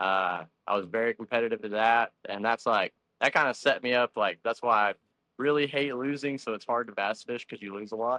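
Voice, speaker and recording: This man speaks with a Texan accent at a medium pitch and ordinary pitch variation. His pace is fairly quick. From Texas (Stephenville). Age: 20s. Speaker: bass fishing angler. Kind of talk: podcast interview.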